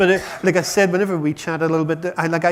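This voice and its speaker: Here a man talks with an Irish accent. He goes at a very fast pace in a fairly high pitch. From Ireland. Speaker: chief scientific officer of a patient charity. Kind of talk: conference talk.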